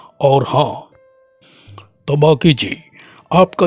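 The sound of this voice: A man puts on a cartoonish character voice at a very slow pace while faint music plays in the background.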